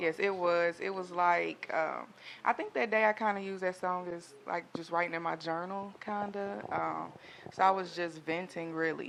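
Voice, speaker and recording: At a moderate pace, a woman speaks with fairly even intonation and a fairly low pitch. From US South, Jackson, Tennessee. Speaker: singer. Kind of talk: interview.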